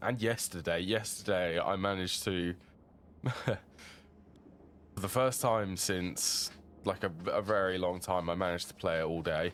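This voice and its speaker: With a British accent, a man speaks at a moderate pace in a very deep, low voice, his intonation fairly even. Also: very clean recording, silent background. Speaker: video game streamer. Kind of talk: gameplay commentary. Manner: casual, thinking aloud.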